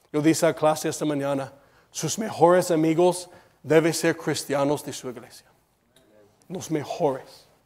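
Speaking at a fairly high pitch and a fairly slow pace, a man keeps fairly even intonation but shows big swings in loudness and long, frequent pauses. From United States. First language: English (speaking Spanish). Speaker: preacher. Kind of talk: sermon. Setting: church. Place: church.

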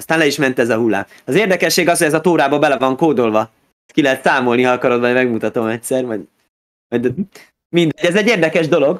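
A man talks at a very fast pace with lively intonation. The background is quiet. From Budapest, Hungary. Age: 30s. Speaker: rabbi; guest. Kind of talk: interview. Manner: halting, with repeated words. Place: home room. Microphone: video call.

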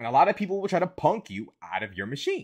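Against a quiet background, a man's voice shows vocal fry and very wide pitch swings. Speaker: commentary vlogger. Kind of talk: commentary. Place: home room.

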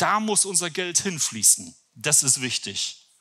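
A man talks with a bright, sharp tone and big swings in pitch.

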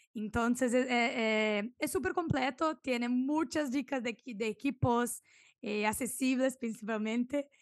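In a Brazilian accent, a woman speaks very slowly at a high pitch with ordinary pitch variation. The background is quiet, and the sound is dry with no echo. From southern Brazil, Santa Maria; southern Brazil. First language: Portuguese (speaking Spanish). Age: 20s. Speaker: food and product photographer; podcast guest. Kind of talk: interview. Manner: halting, searching for Spanish words. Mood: cheerful, animated. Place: home room. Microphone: studio mic.

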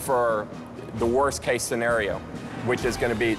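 A man talking at a fairly quick pace over clear music in the background. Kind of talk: interview answer. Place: studio. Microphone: lapel.

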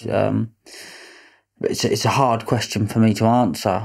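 Against a quiet background, a man speaks at a moderate pace with a dark, mellow tone. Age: 20s. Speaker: businessman; podcast guest. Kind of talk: interview. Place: studio. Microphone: studio mic.

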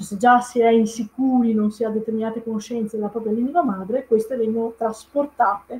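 With a Venetian accent, a woman speaks at a moderate pace in a fairly high pitch and fairly even intonation. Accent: mild Venetian-accented Italian. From Italy, Veneto (Padova province); Veneto, Italy. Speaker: Italian language teacher. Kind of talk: live-stream talk. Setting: live online video stream. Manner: hesitant, many fillers. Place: home room. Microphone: webcam.

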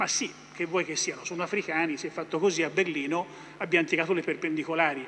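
A man talks at a very fast pace in a high voice with fairly even intonation over light background noise. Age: 50s. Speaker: energy company executive; speaker. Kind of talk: panel talk. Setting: stage with audience. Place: hall. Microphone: podium.

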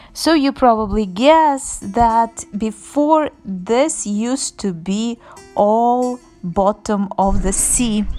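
Over faint music in the background, a woman talks at a very slow pace with ordinary pitch variation. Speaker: travel vlogger. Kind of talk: casual vlog chat. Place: open country. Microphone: phone near.

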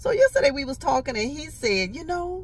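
A woman speaks at a fairly quick pace. The sound is dry with no echo, over light background noise. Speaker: vlogger. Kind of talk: casual vlog chat. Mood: amused, laughing often. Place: car. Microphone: handheld.

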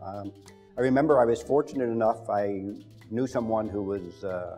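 Over faint background music, a man talks at a moderate pace with a fairly low pitch and ordinary pitch variation. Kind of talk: interview answer. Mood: warm, reflective. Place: studio. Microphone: lapel.

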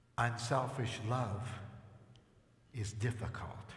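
Slowly and with fairly even intonation, a man speaks at a medium pitch.

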